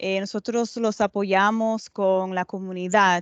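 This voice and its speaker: Over a quiet background, a woman speaks very slowly with fairly even intonation and a dry, close sound with no echo. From Dominican Republic, Montecristi, raised in New York. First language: English (stronger than Spanish) (speaking Spanish). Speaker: lawyer, bar association president. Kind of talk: speech to students.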